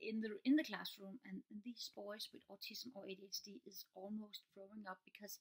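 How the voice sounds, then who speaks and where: A somewhat breathy woman's voice at a moderate pace, over a quiet background. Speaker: teacher. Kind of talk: casual vlog chat. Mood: earnest, calm explaining. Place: home room. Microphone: webcam.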